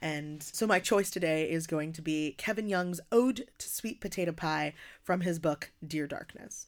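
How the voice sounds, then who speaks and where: In an American accent and an ordinary speaking voice, a woman talks at a fairly slow pace with fairly low pitch and ordinary pitch variation, recorded very cleanly against a silent background. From US Northeast, working-class Philadelphia. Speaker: poet and slam performer. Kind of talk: casual interview conversation.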